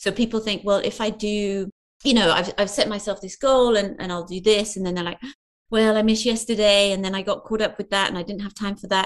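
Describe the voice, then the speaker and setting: In a British accent, a woman at medium pitch talks very fast with a monotone, flat intonation. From UK. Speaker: parkour movement coach. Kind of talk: interview.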